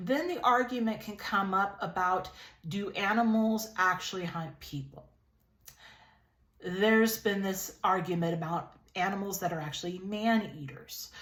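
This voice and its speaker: At a fairly slow pace, a woman of medium pitch speaks with audible room echo. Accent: American. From California, Lompoc. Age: 30s. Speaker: YouTube vlogger. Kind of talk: casual vlog monologue. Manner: conversational, with fillers and repetitions.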